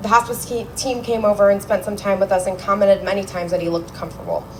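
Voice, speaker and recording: A woman at a medium pitch and very fast pace, with fairly even intonation over noticeable background noise. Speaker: eulogist, daughter of the deceased. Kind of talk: memorial speech; casual remarks to gathering. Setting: memorial gathering with microphone. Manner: loud.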